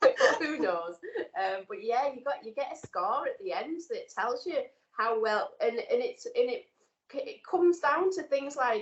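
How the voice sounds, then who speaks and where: A woman speaks with a northern English accent at a moderate pace. Her high pitch makes very wide swings. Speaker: nursing student. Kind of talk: casual chat.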